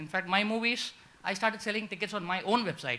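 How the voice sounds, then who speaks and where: In a raised, projected voice, a man speaks very fast at a high pitch with a bright, sharp tone and ordinary pitch variation. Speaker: independent filmmaker, audience member. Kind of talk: audience question at conference panel.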